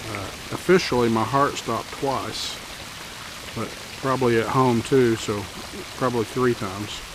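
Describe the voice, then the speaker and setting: With noticeable background noise behind him, a man of medium pitch speaks at a moderate pace in fairly even intonation, taking long, frequent pauses. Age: 60s. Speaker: drone videographer. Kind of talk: vlog testimony. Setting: outdoors. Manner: casual, halting with fillers. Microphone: no mic on, camera audio.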